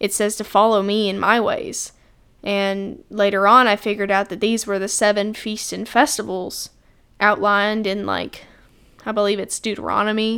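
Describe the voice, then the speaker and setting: In a Southern US accent, a woman speaks at medium pitch and a moderate pace, her bright, sharp voice flat and monotone. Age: young. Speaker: podcast host. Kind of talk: casual monologue.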